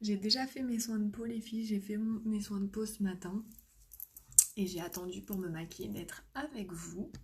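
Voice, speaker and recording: Soft-spoken, a woman of medium pitch talks with ordinary pitch variation. Her pace is moderate. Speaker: makeup seller and live streamer. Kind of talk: live makeup tutorial. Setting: live stream at home.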